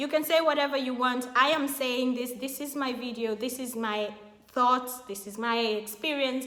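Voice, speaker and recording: Animated in tone, a woman with a high pitch speaks at a moderate pace. Room echo is audible. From Kenya. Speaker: YouTube vlogger. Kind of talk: casual vlog talk to camera.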